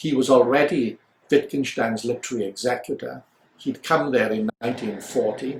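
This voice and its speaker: A somewhat breathy man with a Welsh accent. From Wales, Swansea area. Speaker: philosopher. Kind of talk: interview. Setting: office. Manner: measured, formal.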